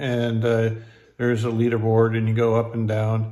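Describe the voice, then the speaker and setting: In a quiet background, a man speaks at a moderate pace. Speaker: poker vlogger. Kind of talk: casual vlog chat, sponsor mention. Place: home room. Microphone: phone near.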